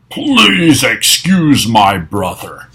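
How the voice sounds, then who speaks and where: The speaker is a man doing a put-on character voice. It stays at a medium pitch. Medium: read story. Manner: theatrical, sneering.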